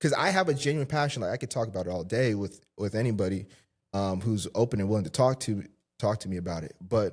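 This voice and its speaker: This man speaks with an American accent at medium pitch and a fairly quick pace. His intonation is lively, and the recording is very clean with a silent background. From Southern California. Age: 20s. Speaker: fitness coach. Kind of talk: casual interview. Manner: animated, filler-heavy.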